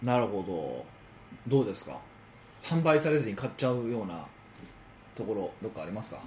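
A man with a slight Osaka accent, fairly quick pace, lively intonation, vocal fry, big swings in loudness and long, frequent pauses. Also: medium pitch for a man. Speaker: business consultant. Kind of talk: casual chat.

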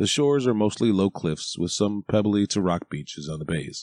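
A man with an ordinary speaking voice, fairly low pitch, and lively intonation against a quiet background. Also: dry, close sound with no echo. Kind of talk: audiobook narration. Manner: even, measured, steady reading pace.

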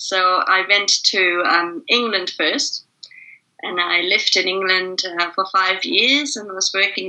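Her pitch sits in the medium range. A woman talks at a very slow pace. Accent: German. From East Germany. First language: German. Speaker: facilitator and leadership trainer. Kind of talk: interview.

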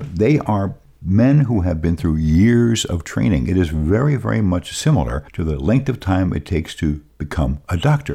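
His very deep, low voice has a dark, mellow tone and vocal fry, and the man swings his pitch very widely. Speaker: radio show host. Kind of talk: radio talk show. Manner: rambling.

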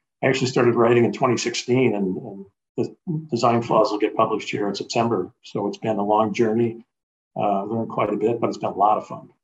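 A man's fairly quick, fairly evenly intoned speech in an American accent. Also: medium pitch for a man. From US Midwest (Chicago). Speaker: author, adoptee. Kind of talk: interview conversation. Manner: hesitant, many fillers.

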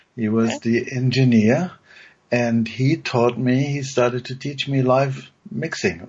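Somewhat breathy, a man speaks at medium pitch and a fairly slow pace with ordinary pitch variation. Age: 60s. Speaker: music producer and musician. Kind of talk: interview.

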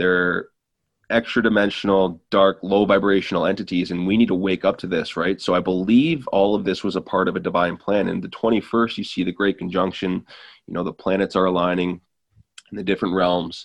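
A man with a Canadian accent speaks at a fairly quick pace in a very deep, low pitch with fairly even intonation. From Ontario, Canada. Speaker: spiritual content creator. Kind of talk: casual chat.

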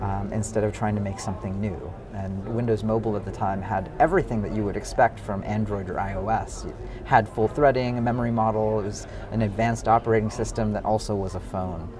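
A man with an American accent and a fairly low pitch talks at a fairly quick pace with fairly even intonation. Noticeable background noise and audible room echo are present. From US, San Francisco Bay Area. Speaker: venture capitalist and startup founder. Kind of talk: interview. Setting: conference.

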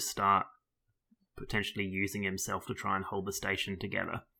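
A man's voice with a bright, sharp tone. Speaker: podcast co-host. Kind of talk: casual chat.

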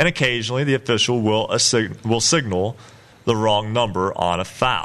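A man with a plain, everyday voice talks at a medium pitch and moderate pace, with ordinary pitch variation and very even loudness. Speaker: radio sports host. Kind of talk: live radio sports talk show. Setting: studio.

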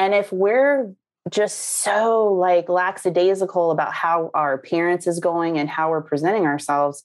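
This woman has a fairly low pitch and ordinary pitch variation, talking at a moderate pace with very even loudness. Her recording is very clean over a silent background. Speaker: online sales trainer. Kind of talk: casual chat. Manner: animated.

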